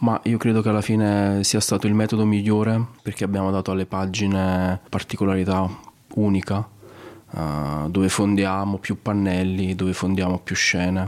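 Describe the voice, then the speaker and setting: A man talks at a fairly slow pace and a fairly low pitch. There is noticeable background noise. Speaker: comic artist. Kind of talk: interview. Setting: art gallery.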